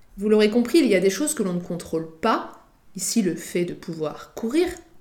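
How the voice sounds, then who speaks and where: A woman's somewhat breathy voice with lively intonation at a fairly slow pace, in audible room echo. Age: 30s. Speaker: podcast host and freelance content strategist. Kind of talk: solo monologue podcast.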